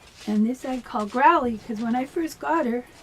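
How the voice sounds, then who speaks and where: A woman takes a fairly slow pace while noticeable background noise carries on behind her. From Canada (Toronto, Ontario). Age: 70s. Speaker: vlogger. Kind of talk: casual monologue. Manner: halting.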